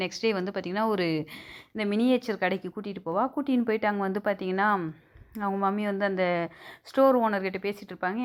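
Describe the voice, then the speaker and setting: With an unremarkable speaking voice, a woman talks at a medium pitch and with fairly even intonation. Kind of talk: movie recap narration. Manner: casual, conversational.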